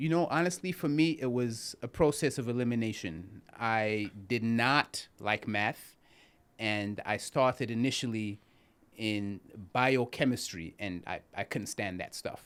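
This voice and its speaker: On a very clean recording with a silent background, a man with a Zimbabwean accent speaks at medium pitch and a fairly slow pace with lively intonation. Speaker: criminal defense attorney. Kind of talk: interview.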